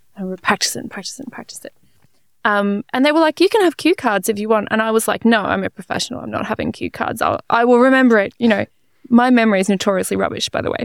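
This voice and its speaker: A woman's very fast Australian-accented voice, fairly high in pitch, with ordinary pitch variation and a dry, close sound free of echo. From Australia (Melbourne). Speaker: physicist and science communicator. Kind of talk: casual interview.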